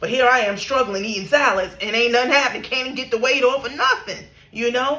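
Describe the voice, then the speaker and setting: Over noticeable background noise, a woman talks very fast in a raised, projected voice. Her pitch is high and her tone animated. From New York. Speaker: spiritual content creator. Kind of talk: casual monologue, spiritual story time.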